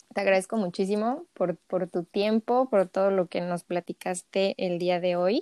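A woman with a medium-pitched, dark, mellow tone talks at a fairly slow pace with fairly even intonation and hardly any pauses, in a dry, close recording with no echo. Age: 30s. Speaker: podcast host, holistic health coach. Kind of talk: casual interview.

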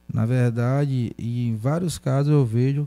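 A man is speaking. His tone is dark and mellow. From Feira de Santana, Bahia, Brazil. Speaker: city councillor. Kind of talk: interview.

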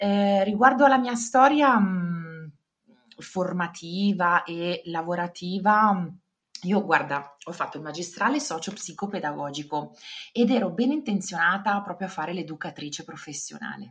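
Speaking at a fairly slow pace, a woman uses a medium, somewhat breathy voice with lively intonation. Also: big swings in loudness. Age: 40s. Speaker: career consultant. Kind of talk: interview.

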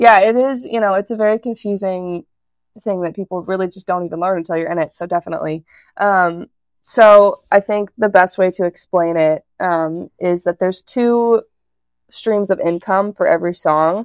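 A woman with an American accent, a plain, everyday voice, fairly even intonation and a moderate pace. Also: medium pitch for a woman. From Colorado, US. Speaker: songwriter. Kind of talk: interview. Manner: casual, filler-heavy.

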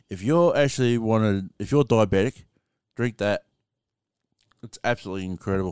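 Recorded very cleanly against a silent background, a man with a strong Australian accent talks at a moderate pace in a dry, close sound with no echo. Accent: broad Australian. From Australia, rural small town. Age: 30s. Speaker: podcast host. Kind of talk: casual livestream monologue. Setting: TikTok live stream with podcast recording. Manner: halting, filler-heavy.

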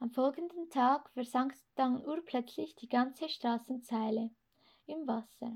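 On a very clean recording with a silent background, the voice moves at a fairly slow pace with ordinary pitch variation. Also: woman. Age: 20s. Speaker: youth group leader. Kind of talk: reading aloud.

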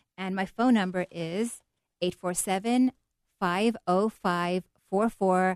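Very slowly and with fairly even intonation, a woman speaks at a medium pitch, the sound dry and close with no echo. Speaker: interior designer. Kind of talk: radio interview. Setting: radio studio.

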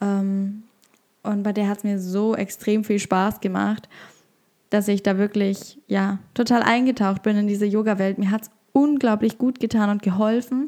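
At a fairly slow pace, a woman speaks with a medium pitch, a dark, mellow tone and fairly even intonation. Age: 20s. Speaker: podcast host and yoga teacher. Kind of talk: solo podcast monologue.

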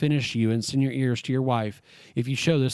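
A natural voice reading aloud

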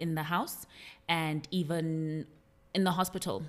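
A woman's very deep, low pitch on a very clean recording with a silent background. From South Africa, KwaZulu-Natal. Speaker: financial educator and business founder. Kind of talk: interview.

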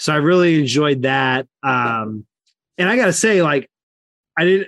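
A man with an unremarkable speaking voice, fairly high-pitched, recorded dry and close with no echo. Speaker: wrestling podcast co-host. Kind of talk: casual chat.

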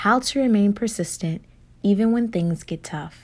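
A woman speaks in a calm, soothing, somewhat breathy tone at a medium pitch with lively intonation, in a very clean recording with a silent background. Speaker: meditation guide. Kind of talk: guided meditation. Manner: slow, calm, soothing pacing with pauses for breaths; gentle, warm, encouraging tone.

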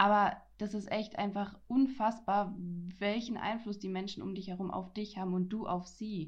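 Here a woman speaks at a moderate pace and medium pitch. Her voice is somewhat breathy, with fairly even intonation. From Franconia, Germany. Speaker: podcaster. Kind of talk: casual chat.

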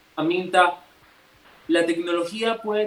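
Noticeable background noise behind a man's high voice, moderate in pace and with ordinary pitch variation. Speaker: youth panel moderator. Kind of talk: radio panel discussion. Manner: halting, repeats words.

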